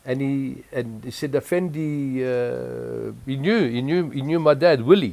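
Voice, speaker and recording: A man with a French accent and lively intonation. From Egypt (Cairo), then Zimbabwe from age 11. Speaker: interviewee recounting life story. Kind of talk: oral history interview. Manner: halting, many repetitions.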